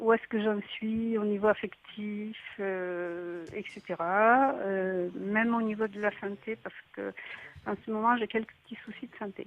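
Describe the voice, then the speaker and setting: A woman speaks at a very slow pace in a fairly high pitch. Her intonation stays fairly even, but her loudness swings widely. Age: 70s. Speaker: caller. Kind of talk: phone-in consultation. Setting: phone call. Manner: halting, hesitant.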